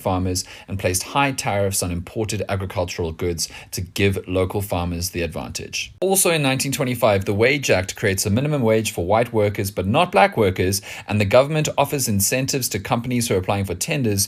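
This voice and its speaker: Speaking at a very fast pace with hardly any pauses, a man has a fairly low pitch and a somewhat breathy sound. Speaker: social commentator. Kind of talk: commentary monologue. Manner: whispering.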